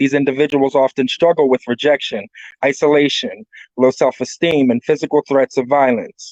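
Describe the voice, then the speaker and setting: With an unremarkable speaking voice, a man of fairly high pitch talks at a moderate pace, with ordinary pitch variation and a dry, close sound with no echo. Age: 40s. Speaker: recovering addict giving a talk. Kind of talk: presentation talk; reading aloud.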